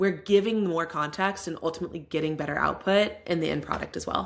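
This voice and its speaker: A woman speaks in an animated tone with an American accent. Her fairly low pitch shows ordinary pitch variation. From US South. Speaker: AI product director and lecturer. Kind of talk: casual interview. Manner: fast, animated.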